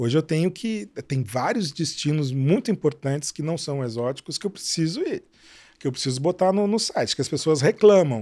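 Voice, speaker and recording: Against a quiet background, a man speaks at a moderate pace, his fairly high voice dark and mellow in tone with lively intonation. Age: 60s. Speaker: travel writer and website owner; travel website creator, podcast guest. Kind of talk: interview. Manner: halting, many repetitions. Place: studio. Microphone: studio mic.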